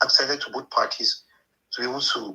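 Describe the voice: A man speaks at a fairly quick pace and medium pitch, his bright, sharp tone carrying a husky, rough edge and vocal fry, with fairly even intonation.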